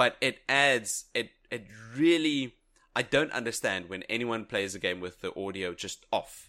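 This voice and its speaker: This man has a medium-pitched, unremarkable speaking voice and talks at a fairly slow pace. His intonation is lively. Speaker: podcast co-host. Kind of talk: casual chat.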